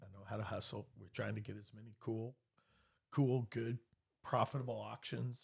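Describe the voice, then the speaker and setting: An ordinary speaking voice moves at a moderate pace. The intonation is fairly even. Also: man. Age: 50s. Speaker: real estate broker and auctioneer. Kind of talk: casual chat.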